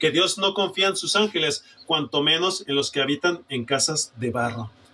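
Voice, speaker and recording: A fairly high-pitched man delivers lively intonation at a medium tempo while noticeable noise sounds in the background. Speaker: preacher. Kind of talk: sermon. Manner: forceful, emphatic.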